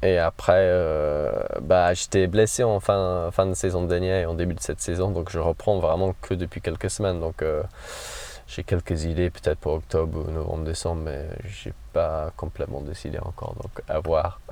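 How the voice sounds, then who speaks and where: With an English accent, a man talks at a moderate pace in a very deep, low pitch and fairly even intonation. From northern England, Cumbria. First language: English (speaking French). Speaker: trail runner. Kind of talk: interview. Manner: halting.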